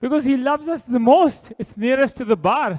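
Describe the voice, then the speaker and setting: Animated in tone, a man speaks at a moderate pace. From India. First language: Hindi or Punjabi. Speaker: wedding guest, groom's friend. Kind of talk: wedding speech. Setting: reception hall with audience, microphone at podium.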